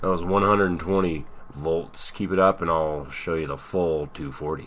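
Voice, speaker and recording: A man uses a put-on character voice, gravelly and very deep in pitch, with fairly even intonation at a moderate pace. Background noise is clearly audible. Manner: menacing.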